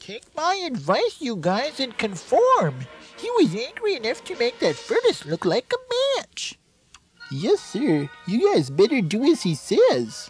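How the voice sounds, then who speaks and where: A cartoonish character voice from a man at an extremely high pitch, fairly slow pace, with faint music in the background. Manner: folksy, nervous.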